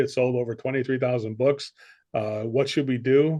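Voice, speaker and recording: A man with an American accent at a fairly quick pace, against a quiet background. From United States. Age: 60s. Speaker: sales coach. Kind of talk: interview.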